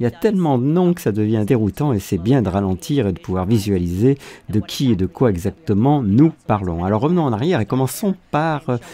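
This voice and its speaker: A man with a medium pitch and a dark, mellow tone speaks at a fairly quick pace with very wide pitch swings. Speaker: voice-over dubber. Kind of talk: dubbed commentary podcast read. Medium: dub.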